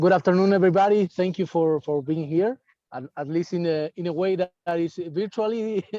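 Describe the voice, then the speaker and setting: In a dry, close recording with no echo, a man with a high-pitched yet dark, mellow voice speaks fairly quickly with ordinary pitch variation. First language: Spanish. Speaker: winemaker. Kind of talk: wine presentation. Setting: video call from outdoors at a dam. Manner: halting. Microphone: unstable wifi connection.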